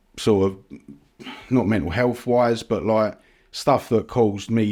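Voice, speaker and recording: With a London accent, a man speaks in a dark, mellow tone at a moderate pace, his intonation fairly even. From East London (Ilford). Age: 40s. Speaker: supplement brand founder. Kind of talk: podcast interview. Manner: casual, hesitant with fillers.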